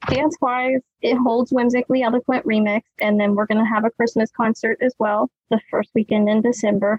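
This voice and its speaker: A woman with an ordinary speaking voice talks at a fairly quick pace in a fairly high pitch, with fairly even intonation and very even loudness. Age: 30s. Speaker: dance company owner and dance teacher. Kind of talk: casual interview chat.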